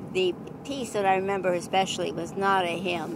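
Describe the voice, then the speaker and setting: Noticeable background noise accompanies a woman who talks with an American accent. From Iowa, USA. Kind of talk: family storytelling. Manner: hesitant, reflective.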